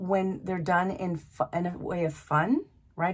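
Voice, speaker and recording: The speaker is a woman. She sounds somewhat breathy. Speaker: tarot card reader. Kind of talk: tarot reading monologue. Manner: halting, many fillers.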